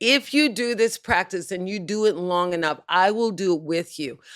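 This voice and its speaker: A woman with an American accent talks at a fairly slow pace in an animated, bright, sharp tone. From Texas (Waco). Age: 70s. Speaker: television host and author. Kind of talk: casual interview chat.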